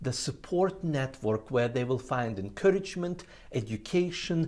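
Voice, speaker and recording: Speaking at a fairly slow pace, a man with a non-native accent uses lively intonation. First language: not English. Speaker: ministry trainer. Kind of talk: training presentation. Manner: frequent filler uh.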